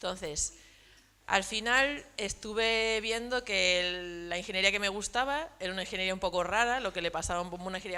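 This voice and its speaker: In a very clean recording with a silent background, a woman speaks at a moderate pace and medium pitch, her tone bright and sharp with ordinary pitch variation. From Spain, Badajoz (Extremadura), Madrid-born parents. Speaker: entrepreneur, industrial designer. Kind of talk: round-table talk to students. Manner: casual, many fillers.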